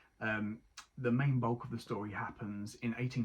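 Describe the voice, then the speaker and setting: Somewhat breathy and in an Essex accent, the speech moves at a moderate pace with fairly even intonation. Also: man. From Essex, England. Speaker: book reviewer. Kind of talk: casual book review. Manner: hesitant, many ums.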